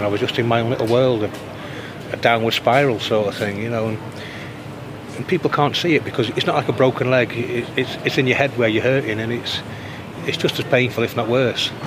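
A man talks at a very fast pace with fairly even intonation, broken by long, frequent pauses. Noticeable background noise runs underneath. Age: 50s. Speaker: formerly homeless church sexton. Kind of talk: interview. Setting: outdoors.

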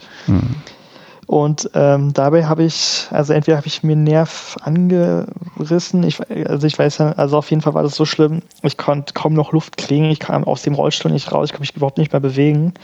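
Fairly quick speech from a man with a fairly high pitch and fairly even intonation, over noticeable background noise. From Berlin. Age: 20s. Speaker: wheelchair tennis player and student. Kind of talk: casual interview. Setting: remote call.

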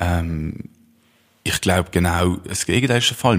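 Moderately paced speech from a man, very deep and low in pitch, with ordinary pitch variation. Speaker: youth party official, referendum campaigner. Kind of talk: political debate.

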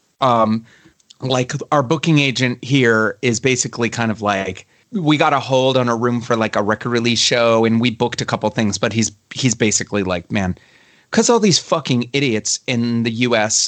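A Baltimore accent with ordinary pitch variation, in a dry, close sound with no echo and a quiet background. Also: man, medium pitch for a man, moderate pace. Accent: American, Baltimore area. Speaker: musician and producer. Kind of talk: interview chat. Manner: casual, filler-heavy.

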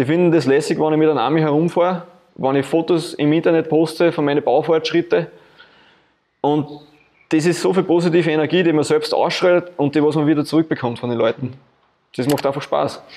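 A man with an Austrian accent and a dark, mellow tone speaks at a fairly quick pace in a fairly high pitch, with fairly even intonation and long, frequent pauses. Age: 30s. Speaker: insurance agent and film car builder. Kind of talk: interview. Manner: casual, colloquial.

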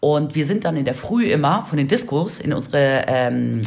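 A woman with a very deep, low pitch speaks with lively intonation. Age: 40s. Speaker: radio podcast host. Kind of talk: casual chat.

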